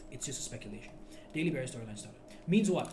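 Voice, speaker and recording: A man talks in a room with clear echo, and there is a fair amount of noise behind him. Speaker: forex trading teacher. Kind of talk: tutorial. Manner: loud; animated.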